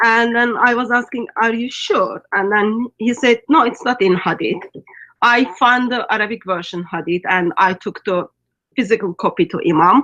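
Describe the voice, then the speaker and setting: A woman with a Turkish accent, fairly high in pitch, bright and sharp in tone, at a moderate pace with ordinary pitch variation and a dry, close sound with no echo. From Turkey. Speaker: ministry guest. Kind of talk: video call discussion.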